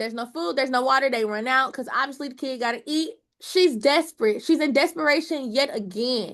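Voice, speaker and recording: Her tone is animated and her pitch high. This woman speaks at a fairly quick pace. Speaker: Bible study teacher. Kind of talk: Bible study teaching.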